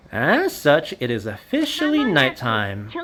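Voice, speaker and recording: Using a put-on character voice, a man speaks at a fairly slow pace in a playful tone. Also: fairly high pitch for a man. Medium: game stream. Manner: playful, taunting.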